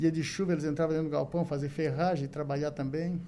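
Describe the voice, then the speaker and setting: This voice has a dark, mellow tone and fairly even intonation, moving at a very fast pace. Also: man. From southern Brazil, Santa Catarina. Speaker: business owner. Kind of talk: radio interview. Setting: studio.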